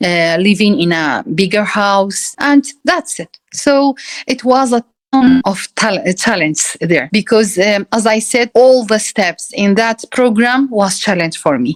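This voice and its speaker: Her fairly high voice moving with lively intonation, a woman speaks fairly slowly in a dry, close recording with no echo. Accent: Kurdish. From Iraqi Kurdistan, Sulaymaniyah. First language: Kurdish. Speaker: university lecturer. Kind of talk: interview. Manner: halting.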